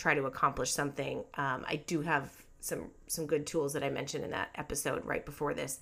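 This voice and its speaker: A woman speaks in a bright, sharp tone with fairly even intonation. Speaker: podcast host and life coach. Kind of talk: casual solo podcast talk. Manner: chatty, informal with fillers.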